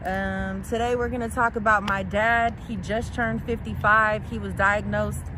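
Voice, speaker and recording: Room echo can be heard around a woman's voice. There is noticeable noise in the background. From US West Coast, San Francisco Bay Area. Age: 30s. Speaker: daughter of cancer patient. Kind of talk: testimony.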